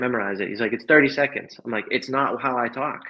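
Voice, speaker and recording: A man with an American accent talks at a very fast pace. His medium pitch holds fairly even intonation. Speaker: networking coach. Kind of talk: livestream talk. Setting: livestream.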